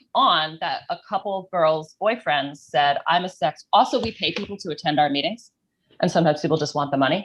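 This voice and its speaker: Her delivery is at a moderate pace with lively intonation, an unremarkable speaking voice from a woman. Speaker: sex worker activist. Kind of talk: panel discussion.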